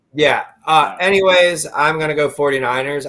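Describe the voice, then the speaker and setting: The background is silent on a very clean recording. A man does the talking. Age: 30s. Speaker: podcast co-host. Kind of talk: casual chat.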